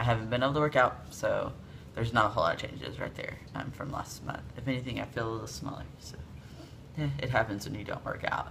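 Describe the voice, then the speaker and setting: Noticeable background noise plus audible room echo. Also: man. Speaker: video blogger. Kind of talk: casual vlog update. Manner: casual, many fillers.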